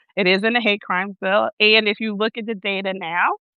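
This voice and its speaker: A woman with a Newark accent, fairly high in pitch, with ordinary pitch variation at a moderate pace. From Newark, New Jersey. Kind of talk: interview conversation. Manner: halting, many fillers.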